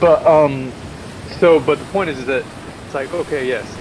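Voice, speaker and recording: A man with an American accent speaks fairly quickly in a fairly high voice with ordinary pitch variation. Noticeable background noise is present. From Texas. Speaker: tabletop game player. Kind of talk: tabletop roleplay session.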